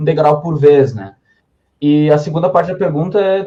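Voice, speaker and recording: A man talks in a plain, everyday voice, pitched fairly high and delivered at a moderate pace. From southern Brazil, Serra Gaúcha (Rio Grande do Sul). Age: 20s. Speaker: author and publisher's legal officer. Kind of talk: podcast interview chat.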